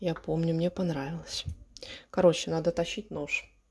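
Pitch moves in an ordinary way here. The tone is dark and mellow. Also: woman. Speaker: vlogger. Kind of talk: casual vlog chat. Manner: chatty, conversational.

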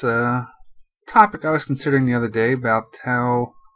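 Music plays in the background as a man talks at a medium pitch with fairly even intonation. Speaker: gaming commentator / YouTuber. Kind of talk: casual talk to camera.

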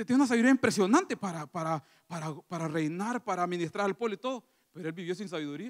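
Against a quiet background, a man speaks at a very fast pace. His high voice has lively intonation. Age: 30s. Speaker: lay preacher. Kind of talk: sermon. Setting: church. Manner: halting, frequent repetitions. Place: church. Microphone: handheld.

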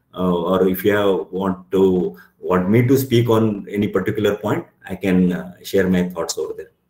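A moderate pace and fairly even intonation, with a Marathi accent. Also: man, fairly low pitch for a man. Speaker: company director. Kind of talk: expert talk to students. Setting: video call.

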